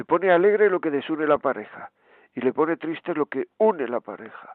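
In a normal speaking voice, a man talks at a moderate pace with fairly high pitch and lively intonation. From Granada, Spain. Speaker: radio host and priest.

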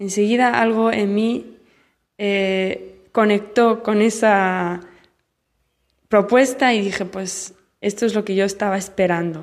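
At a very slow pace, a woman speaks with fairly even intonation and long, frequent pauses. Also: medium pitch for a woman. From Spain, Barcelona. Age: young. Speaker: missionary nun. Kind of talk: recorded testimony.

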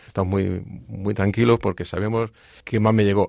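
Fairly quick and fairly low-pitched, a man's voice comes through dry and close with no echo on a very clean recording with a silent background. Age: 50s. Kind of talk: testimony. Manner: halting, repeats words.

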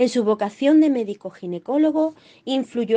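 Against a quiet background, a woman with an unremarkable speaking voice talks at a fairly slow pace with lively intonation. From Málaga, Andalusia. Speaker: doctor. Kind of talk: scripted reading.

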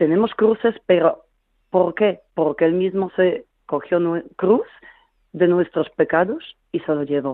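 With a Polish accent, a woman speaks at a very slow pace with long, frequent pauses, a medium pitch and ordinary pitch variation. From Poland. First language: Polish (speaking Spanish). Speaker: caller. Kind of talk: testimony.

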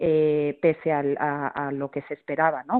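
A woman speaks with a very deep, low pitch. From Mexico. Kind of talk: radio interview.

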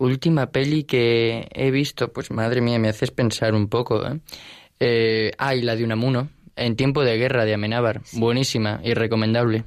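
In a very clean recording with a silent background, a man speaks in an ordinary speaking voice at medium pitch. His pace is moderate and his intonation fairly even. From Spain, Alicante. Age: young. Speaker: university student. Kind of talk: radio interview.

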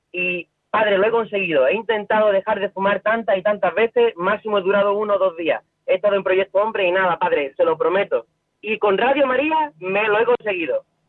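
Speaking at a fairly quick pace, a man uses a high pitch with ordinary pitch variation and very even loudness. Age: 20s. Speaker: caller. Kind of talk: testimony. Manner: fast.

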